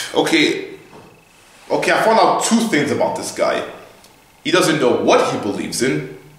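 The speaker is a man at a moderate tempo. His words carry audible room echo. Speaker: vlogger chatting with an online bot. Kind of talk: casual vlog chat. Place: classroom. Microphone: camera far.

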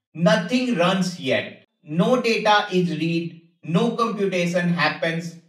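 A man speaks at a very slow pace with a high pitch and ordinary pitch variation. The background is quiet, and there is audible room echo. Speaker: tech educator. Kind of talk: tutorial. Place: home room.

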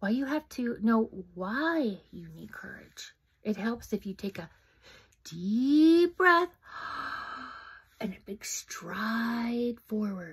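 In a put-on character voice, a woman speaks fairly high and very slowly. Long pauses interrupt her often. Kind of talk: reading a children's story aloud. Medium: read story. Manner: kindly, instructive. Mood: kindly advising.

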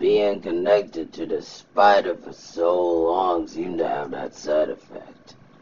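A man in a put-on character voice. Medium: fan dub. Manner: casual, offhand, slightly dismissive.

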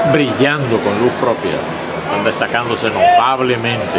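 A man is speaking. Music plays in the background. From Cuba. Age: 80s+. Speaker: baseball radio play-by-play announcer. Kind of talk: interview answer. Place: booth. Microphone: phone near.

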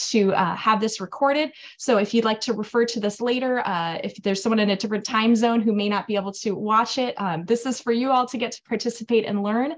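A woman speaks at a fairly quick pace. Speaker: host. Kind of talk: webinar introduction. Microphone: video call.

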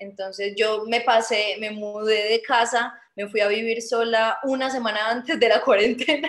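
A woman's fairly high voice with a Colombian Paisa accent, fairly slow and fairly even in intonation, with hardly any pauses. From Colombia, Medellín. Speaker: Olympic artistic swimmer; guest. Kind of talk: video call Q&A interview. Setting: video call. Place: home room. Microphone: video call.

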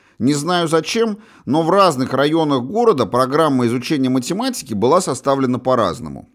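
In a very clean recording with a silent background, a man with a plain, everyday voice speaks at a moderate pace with lively intonation. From Russia, St Petersburg. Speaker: author and audiobook narrator. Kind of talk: audiobook memoir reading, first-person recollection of 1980s school days. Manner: measured, conversational storytelling with wry asides.

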